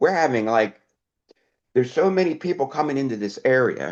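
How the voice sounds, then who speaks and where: A man speaks at a medium pitch with vocal fry and a fairly quick pace. His pitch swings very widely against a quiet background. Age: 70s. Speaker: interviewee, retired chemist and robotics worker. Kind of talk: casual interview chat.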